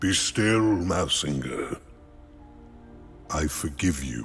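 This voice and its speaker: A man speaks in a put-on character voice, very deep and low in pitch. He goes at a very slow pace with clear music in the background. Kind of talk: formal, archaic speech. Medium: video game. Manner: calm, stately, kindly.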